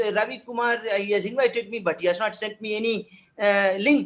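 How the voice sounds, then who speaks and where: A man with a Tamil accent at a fairly quick pace. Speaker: professor of French. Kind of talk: webinar panel talk. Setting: video call webinar. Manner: halting, many fillers and repetitions.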